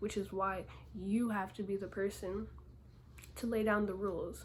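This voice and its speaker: A soft-spoken woman at a moderate pace, medium in pitch, with audible room echo. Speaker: small clothing brand owner. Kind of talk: casual Q&A vlog. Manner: casual, conversational.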